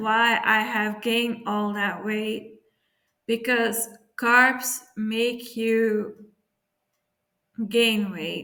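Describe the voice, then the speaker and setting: Speaking at a very slow pace with long, frequent pauses, a woman uses a fairly high pitch, with audible room echo around her. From Belgium. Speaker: YouTuber. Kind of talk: casual vlog talk. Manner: halting, many fillers.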